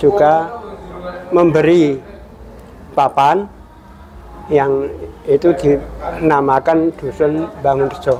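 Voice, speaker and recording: A man speaks with a Central Javanese accent, his pitch fairly high and his intonation fairly even. Noticeable background noise runs behind him. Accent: Central Javanese Indonesian. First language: Javanese (speaking Indonesian). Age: 60s. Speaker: folk dance maestro. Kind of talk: interview testimony. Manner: halting, with repetitions.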